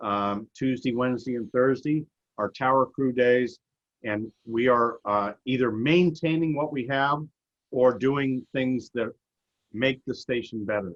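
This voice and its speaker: A man with a plain, everyday voice speaks at a fairly slow pace, medium in pitch with ordinary pitch variation. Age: 60s. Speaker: amateur radio contester. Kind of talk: presentation.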